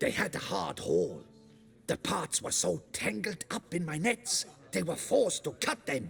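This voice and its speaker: A man puts on a character voice pitched high. He delivers it at a moderate pace. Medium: video game. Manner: rambling, repeats himself.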